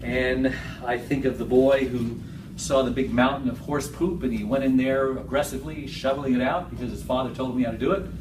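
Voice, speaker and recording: Medium-pitched male speech amid noticeable background noise and audible room echo. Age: 60s. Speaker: motivational speaker. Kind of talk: public speech. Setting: stage with audience. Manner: animated.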